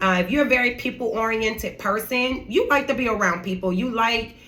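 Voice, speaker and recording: An animated woman at a moderate pace, ordinary pitch variation, amid noticeable background noise and audible room echo. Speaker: lifestyle and inspirational vlogger. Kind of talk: motivational talk.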